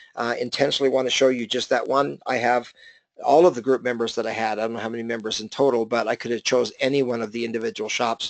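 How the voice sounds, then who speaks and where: A man with a medium pitch talks with fairly even intonation in a dry, close sound with no echo. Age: 50s. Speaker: business coach. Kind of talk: webinar presentation. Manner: fast.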